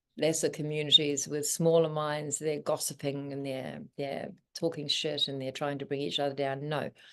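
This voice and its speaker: A woman's very deep, low voice with a New Zealand accent. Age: 60s. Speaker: spiritual teacher. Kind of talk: interview. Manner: animated.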